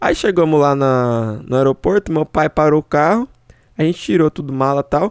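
With a plain, everyday voice, a man speaks at a moderate pace in a fairly high pitch with ordinary pitch variation, the sound dry and close with no echo. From São Paulo state, Brazil. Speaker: podcast host. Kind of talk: casual chat.

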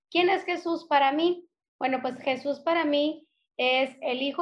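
A woman with a northern Mexican accent, high in pitch, at a fairly slow pace with fairly even intonation. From northern Mexico (Sonora, Hermosillo). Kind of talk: casual faith conversation.

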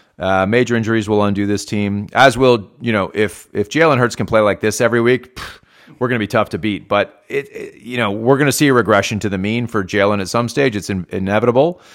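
At a very fast pace with hardly any pauses, a man speaks in a fairly low pitch. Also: ordinary pitch variation. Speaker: podcast host.

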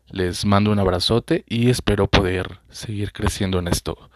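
This man has a fairly low voice with ordinary pitch variation. He talks at a fairly slow pace, recorded dry and close with no echo. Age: 20s. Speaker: podcaster. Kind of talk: personal storytelling monologue. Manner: hesitant, many fillers.

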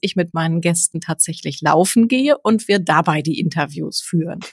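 A woman's somewhat breathy voice at a moderate pace with ordinary pitch variation, dry and close with no echo. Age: 30s. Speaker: journalist and freelance presenter, podcaster. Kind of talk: casual chat.

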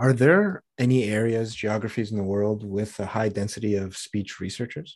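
Speaking in a plain, everyday voice, a man with fairly low pitch keeps a moderate pace and fairly even intonation. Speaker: podcast host. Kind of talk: interview.

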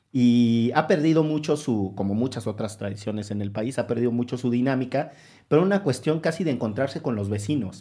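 Against a quiet background, a man with an ordinary speaking voice talks at medium pitch with lively intonation. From Orizaba, Veracruz. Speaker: podcast host, lawyer. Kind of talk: casual conversation.

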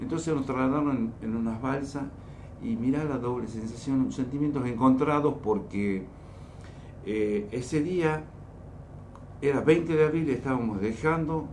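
A man's medium-pitched voice at a fairly slow pace, with ordinary pitch variation, long, frequent pauses and audible room echo. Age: 50s. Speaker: war veteran. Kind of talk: radio interview. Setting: studio.

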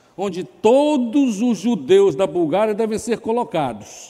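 Fairly slow and dark, mellow in tone, a man speaks. His pitch swings very widely. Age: 70s. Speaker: pastor. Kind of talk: sermon.

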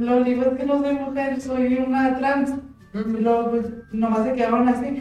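The speech comes at a moderate pace with audible room echo. Noticeable background noise runs underneath. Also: woman, high pitch for a woman. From Jalpa, Zacatecas, Mexico. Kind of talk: casual chat.

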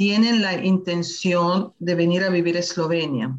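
At a fairly slow pace, a woman's voice comes through somewhat breathy. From Venezuela. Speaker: citizenship advisor, panelist. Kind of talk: online talk, explanatory. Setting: video call, live stream.

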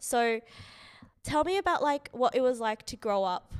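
Over a silent background in a very clean recording, a woman with an Australian accent speaks with ordinary pitch variation. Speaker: podcast host. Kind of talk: casual chat.

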